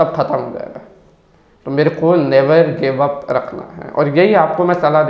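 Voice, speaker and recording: A man's fairly high-pitched voice with fairly even intonation, audible room echo and noticeable background noise. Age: young. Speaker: digital marketer and copywriter. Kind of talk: personal storytelling monologue.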